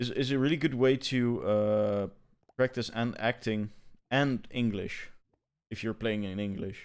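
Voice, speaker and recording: A man speaks at a medium pitch and a fairly slow pace, with fairly even intonation. The recording is very clean, with a silent background. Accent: non-native. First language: not English. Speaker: gaming podcast co-host. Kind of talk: casual chat. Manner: halting, many repetitions.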